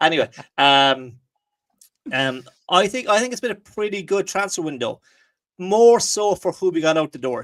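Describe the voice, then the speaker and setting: A man with an Irish accent speaks at a moderate pace, his pitch high and swinging very widely. He leaves long, frequent pauses, and the sound is dry and close with no echo. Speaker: football podcast host. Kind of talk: casual chat. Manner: hesitant, lots of fillers.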